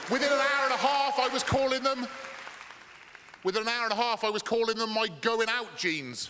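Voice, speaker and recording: A man uses a raised, projected voice at an extremely high pitch, fairly quick in pace but with long, frequent pauses. His loudness is very even and his intonation fairly even, with audible room echo and crowd noise in the background. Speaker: stand-up comedian. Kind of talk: stand-up. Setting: stage with audience. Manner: fast.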